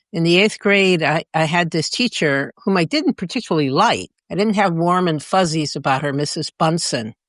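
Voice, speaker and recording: Over a quiet background, a woman with a fairly low pitch talks at a moderate pace with lively intonation and hardly any pauses, in a dry, close sound with no echo. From US military family, moved often incl. Germany. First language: Spanish. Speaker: former intelligence official. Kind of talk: interview.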